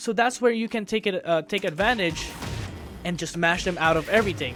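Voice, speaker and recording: With music in the background, the speaker talks at a fairly quick pace with a non-native accent. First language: not English. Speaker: video game tutorial creator. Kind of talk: tutorial. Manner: casual, halting with fillers.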